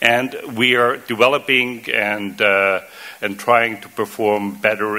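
With a German accent, a man speaks at a fairly low pitch and with fairly even intonation. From Austria (Vienna). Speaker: water association executive; conference speaker. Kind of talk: conference presentation. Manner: halting, many fillers and repetitions. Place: hall. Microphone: podium.

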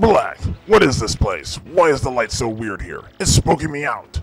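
In a cartoonish character voice, a man speaks at a moderate pace. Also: fairly high pitch for a man. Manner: blustery.

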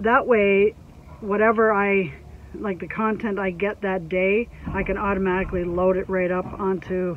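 A woman talks at a fairly slow pace in a flat monotone, the sound dry with no echo. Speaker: homestead vlogger. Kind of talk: casual vlog chat. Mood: relaxed, a bit exasperated. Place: car. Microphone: phone near.

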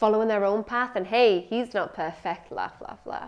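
At a moderate pace, a woman with a Scottish accent talks at a medium pitch with ordinary pitch variation against a quiet background. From Scotland. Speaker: spoken word poet. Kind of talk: performed spoken-word poem, satirical rant. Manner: sardonic, mocking, rhythmic rhyming delivery. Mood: sardonic, expressive. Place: studio. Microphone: lapel.

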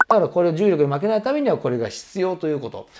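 Against noticeable background noise, a man with a high pitch talks at a very fast pace. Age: 50s. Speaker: personal trainer. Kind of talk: tutorial. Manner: casual, many filler words. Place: home room.

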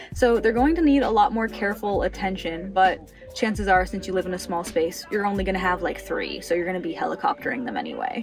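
Faint music plays in the background. A woman speaks at a fairly quick pace. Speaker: plant vlogger. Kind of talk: tutorial. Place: home room. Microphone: phone near.

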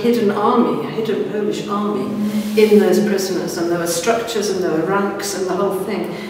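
The speech moves at a fairly quick pace with fairly even intonation. Strong room echo and light background noise are audible. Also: woman. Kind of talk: interview answer. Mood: serious, earnest. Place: hall. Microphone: camera far.

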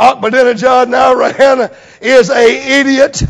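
A man's pitch moves in an ordinary way, with little sound behind him. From United States. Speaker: preacher. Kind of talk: sermon. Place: church. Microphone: lapel.

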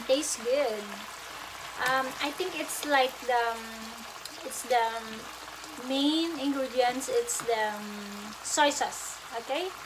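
Over noticeable background noise, a high-pitched woman speaks at a very slow pace with long, frequent pauses and ordinary pitch variation. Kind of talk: casual cooking vlog chat. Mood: cheerful, laughing. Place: kitchen. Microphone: phone near.

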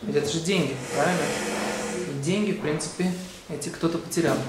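There is noticeable background noise and audible room echo as a man talks at a fairly quick pace. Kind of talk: short religious video lecture. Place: church.

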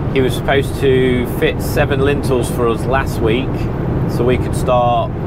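Speech comes at a fairly slow pace, dry with no echo, over loud background noise. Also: man. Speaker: window fitter vlogger. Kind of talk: casual vlog chat. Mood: relaxed, slightly annoyed. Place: car. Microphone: lapel.

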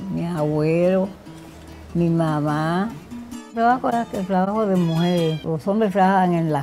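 The intonation rises and falls in a lively way. Behind the voice, music can be heard. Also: woman. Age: 70s. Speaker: tobacco leaf stripper and cigar maker. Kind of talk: interview answer.

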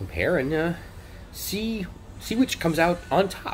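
A man at a moderate pace, light background noise behind him. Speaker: cruise vlogger. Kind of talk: casual vlog chat. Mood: wry, musing. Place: hall. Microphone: phone near.

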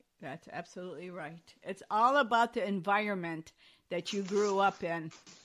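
A woman with an unremarkable speaking voice talks at a fairly slow pace and a medium pitch. Her pitch variation is ordinary, and the recording is very clean with a silent background. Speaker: talk show host. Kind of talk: podcast interview host talk.

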